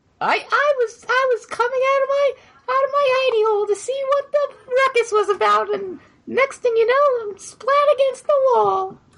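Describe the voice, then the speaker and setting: A put-on character voice, squeaky and extremely high, at a moderate pace. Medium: actual play. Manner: huffy and self-important, quick to brighten.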